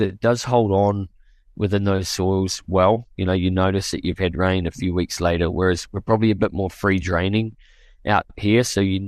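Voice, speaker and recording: Over a quiet background, a man with a fairly low pitch speaks at a moderate pace and fairly even intonation, in a dry, close sound with no echo. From New Zealand. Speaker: farmer. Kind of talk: interview. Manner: halting, many repetitions and fillers.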